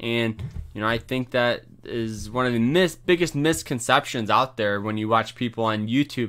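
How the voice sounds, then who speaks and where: A man talks in a plain, everyday voice at medium pitch. His pace is moderate and his pitch variation ordinary. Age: 20s. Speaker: finance podcaster. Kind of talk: casual educational talk. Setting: home recording, no webcam. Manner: casual, filler-heavy.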